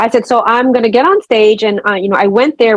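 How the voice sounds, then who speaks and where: A woman with an American accent speaks at a fairly quick pace in a fairly high pitch, her voice dry and close with no echo. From New York City (Brooklyn). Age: 50s. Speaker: nurse. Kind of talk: interview. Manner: unscripted, conversational.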